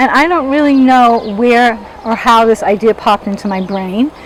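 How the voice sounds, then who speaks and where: Over noticeable background noise, a woman with an American accent talks at a moderate pace in a fairly high pitch with ordinary pitch variation. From US, Los Angeles. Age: 60s. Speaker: interviewee telling life story. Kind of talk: personal testimony. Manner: conversational, with fillers.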